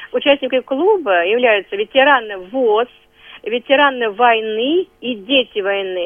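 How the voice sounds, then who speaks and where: Speaking with a plain, everyday voice, a woman uses fairly high pitch and lively intonation at a fairly slow pace. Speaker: head of veterans council. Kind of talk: radio interview.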